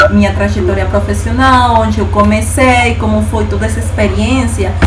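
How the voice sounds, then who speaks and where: A woman's very deep, low voice in a Spanish accent, monotone and flat, at a moderate pace, with audible room echo and noticeable background noise. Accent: Spanish-accented Portuguese, non-native. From Bolivia. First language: Spanish (speaking Portuguese). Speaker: data scientist. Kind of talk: invited talk with slides.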